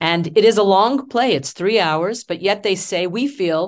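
A woman with a Canadian accent speaks at a moderate pace and medium pitch with lively intonation, an unremarkable speaking voice over a quiet background. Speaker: stage actor. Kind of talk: interview.

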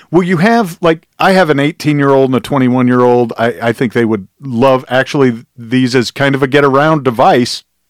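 In a normal speaking voice, a man talks at a medium pitch and fairly quick pace, with hardly any pauses, ordinary pitch variation and very even loudness. The sound is dry and close, with no echo. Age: 40s. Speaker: podcast host. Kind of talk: casual interview. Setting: studio.

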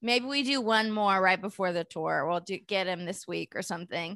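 A bright, sharp voice with a Californian accent moves at a moderate pace with lively intonation. The sound is dry and close with no echo, over a quiet background. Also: woman. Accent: Californian American. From San Francisco Bay Area. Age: 40s. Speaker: stand-up comedian. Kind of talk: casual chat.

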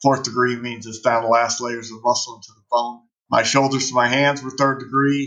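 With an American accent, the speaker keeps a moderate pace and a monotone, flat intonation. The tone is bright and sharp, with big swings in loudness. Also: man, medium pitch for a man. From Phoenix, Arizona. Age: 40s. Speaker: retired police officer, motivational speaker. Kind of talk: interview testimony.

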